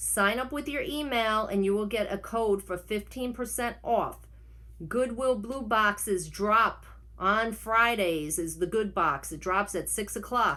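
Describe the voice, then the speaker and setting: A woman in a New York accent, medium in pitch and bright, sharp in tone, at a fairly slow pace with ordinary pitch variation. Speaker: online reseller vlogger. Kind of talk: casual vlog tutorial. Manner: unedited, rambling self-corrections.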